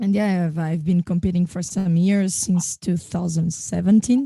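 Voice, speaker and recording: A woman's fairly low, dark and mellow voice, somewhat breathy, with fairly even intonation and a dry, close sound with no echo. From Portugal/France. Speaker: beatboxer and singer. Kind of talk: live online discussion.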